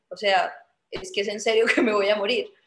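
There is audible room echo and light background noise as a woman speaks with a Colombian Paisa accent. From Colombia, Medellín. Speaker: Olympic artistic swimmer; guest. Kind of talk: video call Q&A interview. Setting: video call. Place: home room. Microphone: video call.

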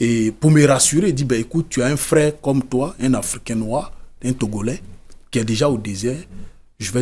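A man talks at a moderate pace in a somewhat breathy voice. His pitch is medium, with ordinary variation. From Côte d'Ivoire. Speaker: author and former migrant worker; interview guest. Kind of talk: interview testimony. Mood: calm, serious recounting. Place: studio. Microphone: studio mic.

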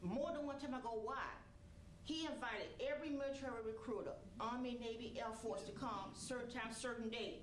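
Light background noise and audible room echo are present in the recording. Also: woman, high pitch for a woman, ordinary pitch variation. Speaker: mother of fallen marine. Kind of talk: stage testimony. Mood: emotional, wipes her eyes. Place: stage.

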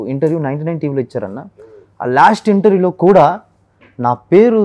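The background stays quiet. Over it, a man talks with lively intonation. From West Godavari, Andhra Pradesh, India; Andhra Pradesh. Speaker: mimicry artist; interview guest. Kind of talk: interview. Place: studio. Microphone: lapel.

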